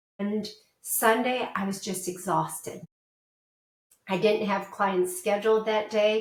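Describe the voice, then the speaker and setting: Long, frequent pauses break up a fairly slow, monotone delivery with flat intonation, heard with audible room echo. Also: woman, medium pitch for a woman. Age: 60s. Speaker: portrait photographer. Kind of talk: interview.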